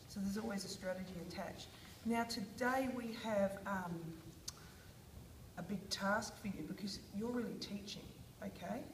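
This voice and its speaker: In an Australian accent with fairly even intonation, the speech comes with audible room echo and noticeable background noise. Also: woman. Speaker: teacher. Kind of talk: guided reading lesson with children.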